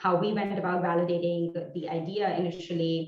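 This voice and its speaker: A woman's fairly low-pitched voice with an Indian accent. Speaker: entrepreneur. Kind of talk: presentation talk. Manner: hesitant, many fillers.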